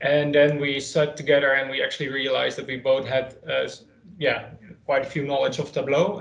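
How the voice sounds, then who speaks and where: In audible room echo, a man speaks at a fairly quick pace with fairly even intonation. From Netherlands, Leiden. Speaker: data consultant and trainer. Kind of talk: online training session.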